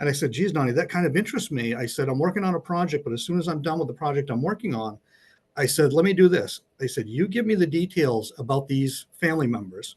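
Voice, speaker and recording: Against a quiet background, a man talks at a very fast pace in a fairly high, somewhat breathy voice with lively intonation. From Maine. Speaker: mystery and horror author. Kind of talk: interview.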